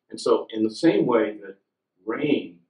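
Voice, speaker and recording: A man with an American accent speaks in a room with audible echo and a quiet background. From US West Coast (California). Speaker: neuroscience professor. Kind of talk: public science lecture. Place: meeting room. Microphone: podium.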